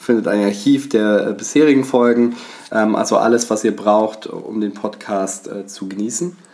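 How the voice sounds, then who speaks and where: Against noticeable background noise, a man talks at a fairly slow pace in a fairly low voice with ordinary pitch variation. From western Germany, Bonn. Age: 20s. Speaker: travel podcast co-host. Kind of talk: casual chat. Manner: hesitant, many filler sounds.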